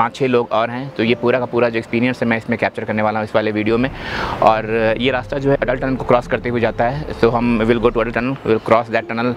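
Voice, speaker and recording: Over light background noise, a man talks at a very fast pace with hardly any pauses, his flat, monotone delivery heard as a dry sound with no echo. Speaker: travel vlogger. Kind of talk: casual vlog chat. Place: open country. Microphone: phone near.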